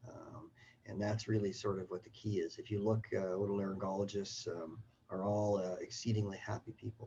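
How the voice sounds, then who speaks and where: A man with a Canadian accent speaks at a fairly quick pace in a somewhat breathy, dark, mellow tone, his intonation flat and monotone while his loudness swings widely. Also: fairly low pitch for a man. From Canada. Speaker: surgeon and professor. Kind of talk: self-introduction. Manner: halting with many fillers.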